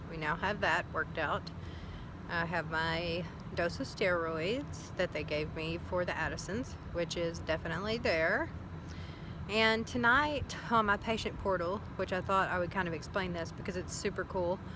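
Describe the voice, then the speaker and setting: There is audible room echo as a woman speaks with a Southern US accent. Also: fairly low pitch for a woman, ordinary pitch variation, moderate pace. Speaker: vlogger. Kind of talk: casual video diary. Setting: outdoors.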